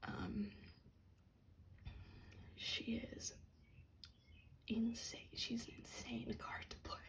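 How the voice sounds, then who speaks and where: Someone whispers in a calm tone. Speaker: ASMR content creator and card collector. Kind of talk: ASMR show and tell, soft-spoken talk to camera about trading cards. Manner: soft-spoken, calm.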